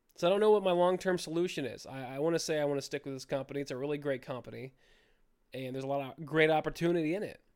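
In a very clean recording with a silent background, a man with a fairly high pitch talks at a very fast pace with ordinary pitch variation. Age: 20s. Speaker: podcast host and stand-up comedian. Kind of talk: casual solo monologue. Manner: halting, with fillers. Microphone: new mic.

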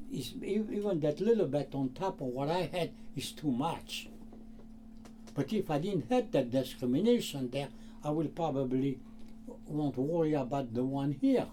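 A man's fairly high voice with very wide pitch swings and long, frequent pauses. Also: moderate pace. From France. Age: 80s+. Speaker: shoe repairman. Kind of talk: casual interview conversation. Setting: in his shoe repair shop. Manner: halting; animated.

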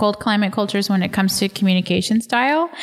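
Here a woman with an unremarkable speaking voice talks fairly quickly in an American accent. Her pitch sits in the medium range with ordinary variation. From Texas. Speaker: podcast host, missionary pastor. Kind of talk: casual interview conversation. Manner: uses many filler words.

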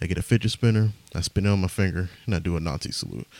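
A man speaks quietly in a very deep, low voice with a dark, mellow tone and lively intonation, on a very clean recording with a silent background. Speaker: podcaster and stand-up comedian. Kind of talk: casual rambling podcast monologue with comedy bits. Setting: home, recording late at night. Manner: rambling, halting, self-deprecating, profane; quiet, hushed delivery.

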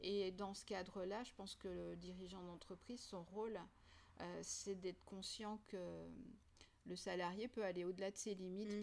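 Her pitch sits in the medium range for a woman. She talks at a moderate pace in a flat, monotone way. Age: 50s. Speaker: university program director. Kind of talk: interview conversation.

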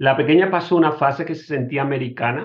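A man speaks at a moderate pace, sounding somewhat breathy. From Spain (Murcia). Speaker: engineer. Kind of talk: casual interview.

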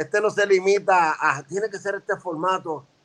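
The speaker is a man with a high pitch. His tone is bright and sharp. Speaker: veteran rapper. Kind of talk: casual chat.

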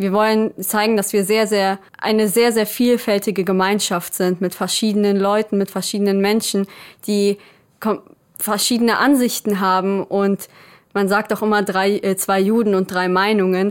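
A woman speaks at medium pitch with monotone, flat intonation and very even loudness, on a very clean recording with a silent background. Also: moderate pace. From Germany, grew up from age two after birth in Israel. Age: 20s. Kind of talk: interview.

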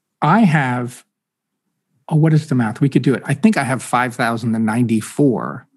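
An ordinary speaking voice from a man, medium in pitch, at a moderate pace and with ordinary pitch variation. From Massachusetts, Boston area. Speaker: author and former ambassador. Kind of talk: casual chat.

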